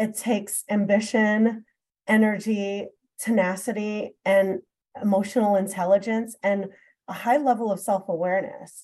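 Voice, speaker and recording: A woman with a normal speaking voice talks at a moderate pace and medium pitch. Her intonation is fairly even. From New York City. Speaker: consulting executive. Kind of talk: interview.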